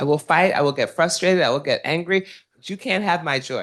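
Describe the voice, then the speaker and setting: Against a quiet background, a woman speaks in an animated tone with ordinary pitch variation. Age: 70s. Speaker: alumna panelist, legal advisor. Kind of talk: panel discussion.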